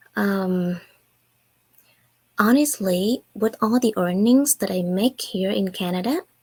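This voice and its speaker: A woman's somewhat breathy voice at a very slow pace, with long, frequent pauses, ordinary pitch variation and a dry, close sound with no echo. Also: medium pitch for a woman. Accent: Vietnamese. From Vietnam. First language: Vietnamese. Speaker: online business owner. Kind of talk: casual talk to camera.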